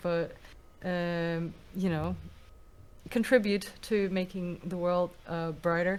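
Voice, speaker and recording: A woman speaks very slowly in a Russian accent. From Russia, Moscow. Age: young. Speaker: musician. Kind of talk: interview.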